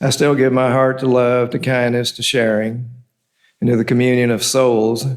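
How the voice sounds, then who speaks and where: A medium-pitched man at a moderate pace, with audible room echo. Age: 70s. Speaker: lay speaker at church service. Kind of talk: sermon. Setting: church.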